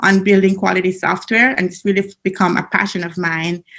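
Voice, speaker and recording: A woman with a Jamaican accent at a medium pitch and a fairly quick pace. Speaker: business analyst trainer. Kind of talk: conference presentation. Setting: video call from home basement.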